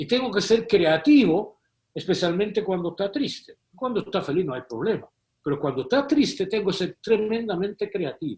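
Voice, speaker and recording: A man with a high pitch, lively intonation and a moderate pace. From Malta. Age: 70s. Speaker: moral theologian, professor. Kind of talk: interview.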